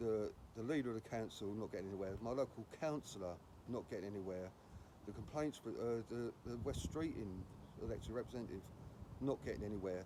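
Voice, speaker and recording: In a British accent, the speaker talks at a very fast pace in a dark, mellow tone, with long, frequent pauses. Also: man, medium pitch for a man, ordinary pitch variation. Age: 60s. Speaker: housing protester, vlogger. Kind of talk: protest vlog to camera. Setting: outdoors outside housing office. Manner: halting, with many restarts.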